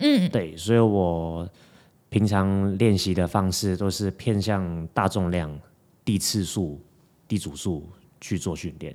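Very slow and very deep, a man's low voice keeps fairly even intonation in a very clean recording with a silent background. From Hong Kong. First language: Cantonese (speaking Chinese). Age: 20s. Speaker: fitness coach. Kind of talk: casual chat.

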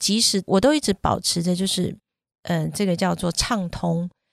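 A woman speaks at a medium pitch and a moderate pace with ordinary pitch variation. It is an ordinary speaking voice, with a dry, close sound and no echo. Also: very clean recording, silent background. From Taiwan. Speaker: parenting podcast host. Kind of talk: casual chat.

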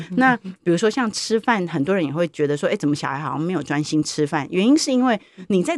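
Racing at a very fast pace, a woman with fairly low pitch uses very wide pitch swings in a dry, close sound with no echo. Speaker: university professor. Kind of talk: interview. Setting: studio.

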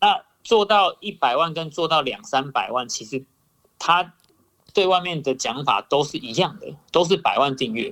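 Lively intonation and a bright, sharp tone carry this moderate-paced voice, which shows big swings in loudness. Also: man, high pitch for a man. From Taiwan. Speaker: YouTuber. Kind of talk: casual chat.

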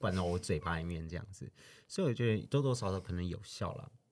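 A man with a Taiwanese accent at a fairly quick pace, ordinary pitch variation, and a very clean recording over a silent background. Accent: Taiwanese Mandarin. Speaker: podcast co-host. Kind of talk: casual chat.

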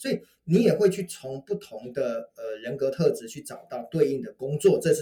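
A man talks at a moderate pace in an animated tone. His loudness swings widely. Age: 50s. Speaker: author and networking speaker. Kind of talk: interview.

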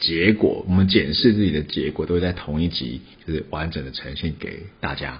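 This man's voice sits at a very deep, low pitch. His pace is moderate and his pitch varies in an ordinary way. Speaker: podcast host. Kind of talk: casual chat.

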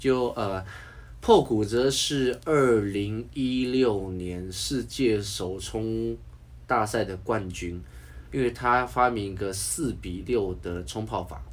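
A man talks at a very slow pace in a fairly low pitch. His intonation is lively, and there is audible room echo. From Taiwan. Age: middle-aged. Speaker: coffee enthusiast. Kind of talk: casual chat. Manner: animated.

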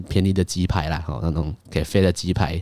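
A man speaks with a very deep, low-pitched voice. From Malaysia. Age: 20s. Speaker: podcast host. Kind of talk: casual monologue.

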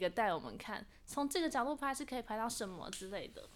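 In a Taiwanese accent, a woman speaks at a very fast pace with lively intonation on a very clean recording with a silent background. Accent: Taiwanese Mandarin. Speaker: university student and actress. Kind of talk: interview.

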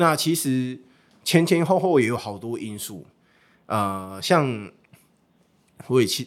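A man's medium-pitched voice at a fairly slow pace with very wide pitch swings, on a very clean recording with a silent background. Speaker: baseball team livestream host and former interpreter. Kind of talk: casual interview chat.

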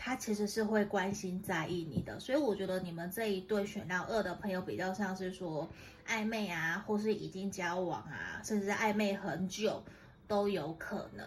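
With a Taiwanese accent, a woman talks at a moderate pace in a medium voice with fairly even intonation over noticeable background noise. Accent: Taiwanese Mandarin. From Taiwan, Tainan. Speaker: tarot reader. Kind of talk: tarot reading monologue. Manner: gentle, conversational.

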